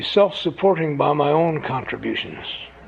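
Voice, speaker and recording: There's noticeable background noise as a man speaks at a fairly quick pace. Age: 70s. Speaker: AA speaker sharing recovery story. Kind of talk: speaker testimony to an audience. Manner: conversational storytelling with humor.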